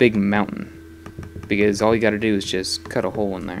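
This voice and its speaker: A man's fairly low pitch at a moderate pace over noticeable background noise. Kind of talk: casual talk to camera. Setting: home recording, voice over gameplay.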